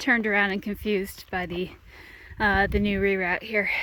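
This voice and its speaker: Her pitch is medium. The speaker is a woman. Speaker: hiking vlogger. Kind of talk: vlog narration. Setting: outdoors. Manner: casual with fillers; keeping voice down.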